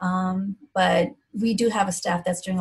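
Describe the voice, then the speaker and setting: A woman talks at a medium pitch in a somewhat breathy voice with ordinary pitch variation. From India, moved to Philadelphia at 11. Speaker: physician. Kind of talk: interview.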